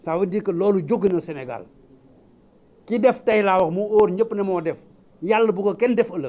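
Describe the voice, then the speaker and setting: This man's voice is high, with a dark, mellow tone and ordinary pitch variation. He keeps a moderate pace but leaves long, frequent pauses. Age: 80s+. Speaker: lawyer and politician. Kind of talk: public speech.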